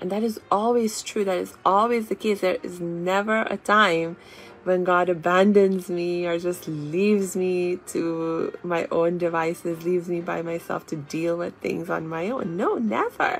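A woman speaks fairly slowly in a fairly low pitch, with hardly any pauses and fairly even intonation. Noticeable background noise sits behind her. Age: 30s. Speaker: self-help podcaster and author. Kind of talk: motivational livestream lesson. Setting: live video broadcast.

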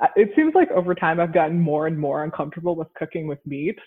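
A woman speaks with an American accent in a plain, everyday voice. Her pitch is fairly low and varies in an ordinary way. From US Northeast, Rhode Island. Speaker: attorney and vegan content creator. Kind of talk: casual interview chat.

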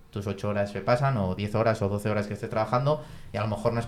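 Words rush out at a very fast pace. The speaker is a man with a fairly low pitch. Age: 30s. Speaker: engineer, parishioner. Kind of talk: casual chat. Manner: halting, with frequent repetitions.

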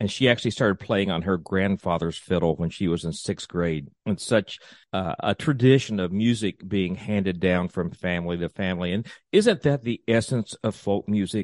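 A man with an American accent uses a plain, everyday voice, fairly low in pitch, with ordinary pitch variation at a moderate pace. The sound is dry and close with no echo, over a quiet background. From US South, East Tennessee. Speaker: tourism podcast host. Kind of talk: event announcements; interview.

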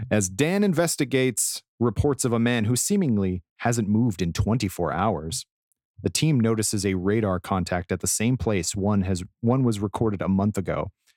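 A man with an ordinary speaking voice and a fairly low pitch speaks in an American accent at a moderate pace, with ordinary pitch variation and very even loudness. The recording is very clean and dry, close with no echo, against a silent background. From Colorado. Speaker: entertainment editor and podcaster. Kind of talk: scripted narration; casual chat.

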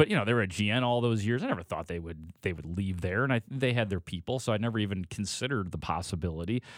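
A very fast, fairly low-pitched man with an American accent and ordinary pitch variation, hardly any pauses, in a very clean, dry, close recording with a silent background and no echo. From Chicago western suburbs. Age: 40s. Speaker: sports reporter. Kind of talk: casual chat.

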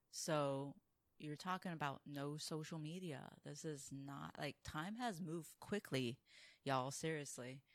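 Her pitch is very deep and low for a woman, with ordinary variation. She speaks at a fairly slow pace. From Taiwan. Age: 40s. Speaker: drag king performer. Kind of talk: casual interview chat. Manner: animated.

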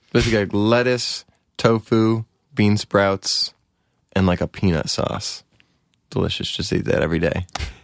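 A man with an American accent and a fairly low pitch, at a moderate pace with ordinary pitch variation and long, frequent pauses, in a dry, close sound with no echo on a very clean recording with a silent background. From US West Coast (Oregon, Palm Springs, Orange County). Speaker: musician, band frontman. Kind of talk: casual interview.

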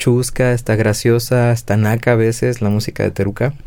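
In a Mexican accent, a man speaks at a moderate pace. His voice sits at a medium pitch with a dark, mellow tone. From Mexico, Guadalajara. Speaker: drummer. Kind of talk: casual chat.

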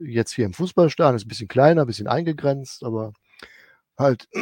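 This man's voice comes across dry and close, with no trace of echo. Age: 50s. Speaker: head groundskeeper. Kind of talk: interview. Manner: halting.

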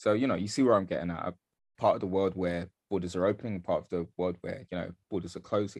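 A man with a London accent talks at a very fast pace, his pitch very deep and low. His intonation stays fairly even against a quiet background. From London, Bethnal Green (East London). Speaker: artist and film director. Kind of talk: interview. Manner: halting, many fillers.

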